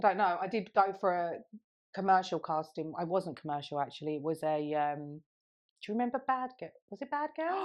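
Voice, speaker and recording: With very wide pitch swings, a woman talks at a fairly quick pace in a fairly low pitch. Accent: English. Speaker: podcast co-host. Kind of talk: casual chat.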